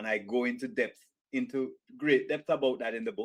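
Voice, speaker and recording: A man speaks with a Jamaican accent. The recording is very clean, with a silent background. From rural Jamaica. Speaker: author and business executive. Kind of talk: interview.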